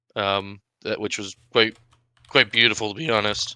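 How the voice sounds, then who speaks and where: A man with an American accent, medium pitch and a moderate pace. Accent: Maine accent, noted by others. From Maine, US. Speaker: esports caster. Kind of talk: live game commentary. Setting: live stream.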